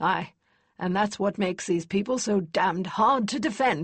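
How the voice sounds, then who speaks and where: A put-on character voice, female-sounding and medium in pitch. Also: moderate pace. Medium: read story. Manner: blunt, brusque.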